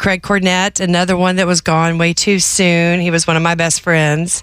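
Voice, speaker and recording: A woman's unremarkable speaking voice, fairly low in pitch, at a moderate pace on a very clean recording with a silent background. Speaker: radio host. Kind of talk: casual on-air reminiscing and tribute.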